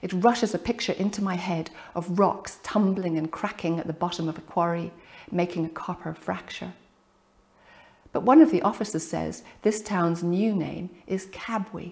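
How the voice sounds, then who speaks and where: A somewhat breathy woman, fairly low-pitched, at a moderate pace with fairly even intonation against a quiet background. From Ireland. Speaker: poet. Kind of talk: reading from own book. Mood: calm, reflective. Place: home room.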